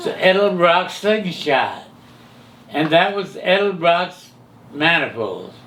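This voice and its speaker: Very slow speech with an American accent, broken by long, frequent pauses. Noticeable background noise is present. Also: man, high pitch for a man, ordinary pitch variation. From California. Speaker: hot rod pioneer and camshaft maker. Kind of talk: interview answer.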